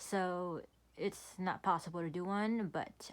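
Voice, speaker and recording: A woman talks with ordinary pitch variation. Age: 20s. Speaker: K-pop album collector. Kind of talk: casual talk to camera.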